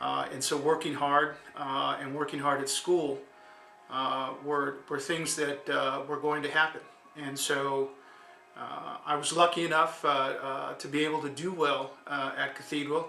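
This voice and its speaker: With music in the background, a man with a fairly high pitch speaks at a fairly slow pace in a monotone, flat intonation. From East Los Angeles, US. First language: Spanish. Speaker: lawyer. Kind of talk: interview. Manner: halting.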